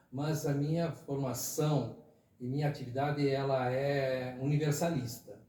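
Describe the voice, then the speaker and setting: A man's fairly high-pitched voice carries audible room echo, with noticeable background noise underneath. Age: 60s. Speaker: retired teacher and former city councillor. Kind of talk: podcast interview. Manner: conversational with fillers, hesitant.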